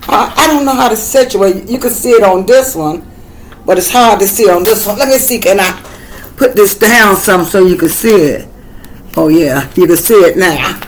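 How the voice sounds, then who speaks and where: A woman's medium-pitched voice with lively intonation at a moderate pace, amid noticeable background noise. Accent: Southern US. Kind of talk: tutorial. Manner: casual, halting.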